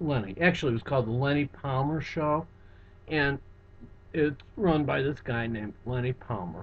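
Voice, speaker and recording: A man talks with lively intonation in a fairly high, somewhat breathy voice. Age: 60s. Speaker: psychotherapist and hypnotist. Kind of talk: webcam monologue. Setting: office. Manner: halting.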